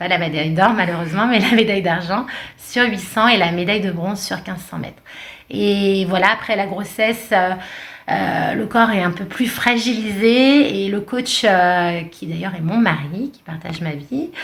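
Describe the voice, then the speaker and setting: In audible room echo, a woman talks at a fairly slow pace with big swings in loudness and ordinary pitch variation. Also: medium pitch for a woman. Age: 40s. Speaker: runner and sports coach. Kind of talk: podcast interview. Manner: hesitant, many fillers.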